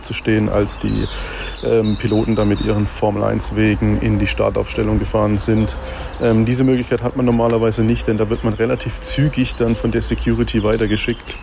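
Noticeable background noise sits behind a man speaking at a fairly quick pace with very even loudness. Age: 20s. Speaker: racing fan. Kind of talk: voice message. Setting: recorded voice message.

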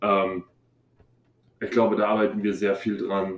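A man speaks at a fairly low pitch. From Bavaria, Munich area. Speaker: college football player. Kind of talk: interview.

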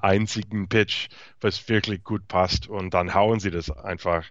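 Ordinary pitch variation marks this man's fairly slow speech. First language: English (speaking German). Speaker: podcast co-host, baseball commentator. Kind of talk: casual sports chat. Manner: halting, hesitant.

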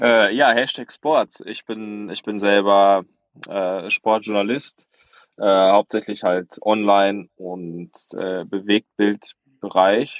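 A man with a fairly low voice speaks at a very slow pace. His intonation is fairly even, but his volume rises and falls sharply. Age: 20s. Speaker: sports reporter and author. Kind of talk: podcast discussion. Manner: halting, many fillers.

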